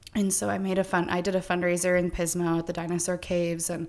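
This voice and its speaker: On a very clean recording with a silent background, a woman with a fairly low pitch speaks at a moderate pace with an American accent. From California (Stockton, then San Luis Obispo area). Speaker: wedding planner. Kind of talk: interview. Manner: casual, lots of fillers.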